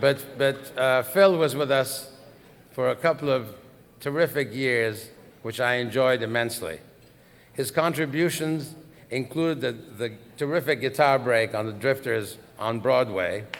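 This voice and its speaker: An unremarkable speaking voice from a man at a medium pitch and fairly slow pace, with ordinary pitch variation. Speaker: record label executive. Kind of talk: award ceremony induction speech.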